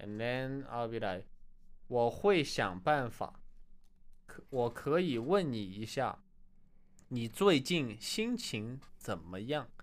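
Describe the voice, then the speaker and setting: On a very clean recording with a silent background, a man with a Chinese accent speaks very slowly at a medium pitch, using lively intonation. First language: Chinese dialect. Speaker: Chinese language co-teacher. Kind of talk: language lesson.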